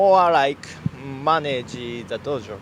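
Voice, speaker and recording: A man speaks with a Japanese accent. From Japan, Shiga. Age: 20s. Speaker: judo instructor. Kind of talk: interview. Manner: halting, many fillers.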